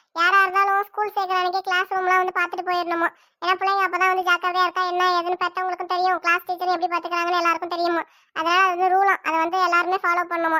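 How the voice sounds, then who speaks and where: A woman's cartoonish character voice, extremely high and flat in a monotone, at a fairly quick pace with a dry, close sound and no echo. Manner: warm, motherly, persuasive.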